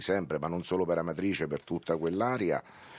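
A man talks at a fairly quick pace. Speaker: football coach and mayor. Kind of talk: radio interview. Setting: radio studio.

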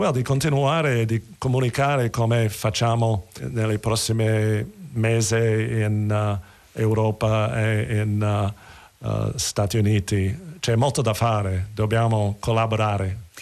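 Speaking at a very slow pace, a man keeps his loudness very even, with a fairly low pitch and ordinary pitch variation. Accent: English. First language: English (speaking Italian). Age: 70s. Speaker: theatre actor. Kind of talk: interview.

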